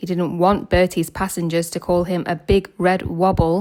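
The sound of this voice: A woman speaks at a fairly low pitch with a dark, mellow tone and little pitch movement. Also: moderate pace.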